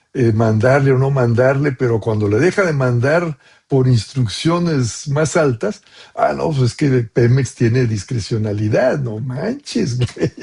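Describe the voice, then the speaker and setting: A man speaks at a fairly slow pace, somewhat breathy. His medium pitch shows ordinary variation. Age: 70s. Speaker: professor. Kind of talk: Q&A answer to doctoral students. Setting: video call. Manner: casual, with many fillers.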